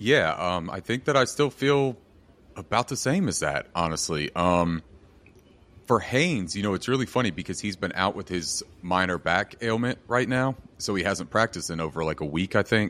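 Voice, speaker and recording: In a plain, everyday voice, a man talks at a moderate pace with lively intonation and fairly low pitch over a quiet background. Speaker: podcast co-host. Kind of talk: casual chat.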